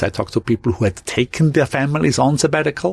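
Recorded with a dry, close sound with no echo, a man talks at a medium pitch. His delivery is somewhat breathy, with lively intonation. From Austria. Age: 50s. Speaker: graphic designer. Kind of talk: interview conversation. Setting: podcast lounge at a conference.

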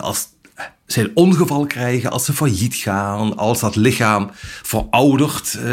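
Somewhat breathy, a man speaks at a fairly slow pace with very wide pitch swings. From Brabant, Netherlands. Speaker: journalist. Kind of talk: interview.

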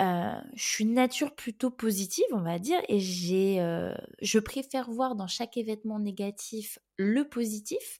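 A woman speaks at a fairly slow pace in a fairly high pitch. Her tone is dark and mellow, with ordinary pitch variation. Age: 30s. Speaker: podcast host. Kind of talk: solo monologue. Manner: talkative; hesitant, many fillers.

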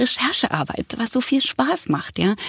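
At a moderate pace, a woman speaks in a somewhat breathy voice, the sound dry and close with no echo. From Berlin, Germany. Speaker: actress and voice actor. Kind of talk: casual interview.

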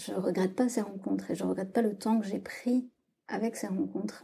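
At a medium pitch, a woman speaks in a dark, mellow tone with vocal fry. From southwest France. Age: 30s. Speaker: writing workshop leader. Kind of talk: testimony. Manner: hesitant, with many fillers and repetitions.

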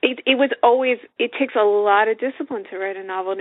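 Here is a woman with an ordinary speaking voice. She moves at a fairly quick pace, her intonation fairly even. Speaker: novelist and author. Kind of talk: casual interview chat.

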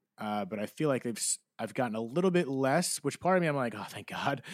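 A man with an unremarkable speaking voice talks fairly quickly at a medium pitch, using ordinary pitch variation. The recording is very clean, silent in the background, with a dry, close sound and no echo. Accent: American. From New Jersey. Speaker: podcast host. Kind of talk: interview guest, personal testimony.

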